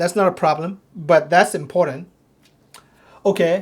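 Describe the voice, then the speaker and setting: Someone with a non-native accent speaks at a fairly slow pace. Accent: foreign accent, noticeable. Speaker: ministry teacher. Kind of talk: lecture. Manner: halting, many repetitions and restarts.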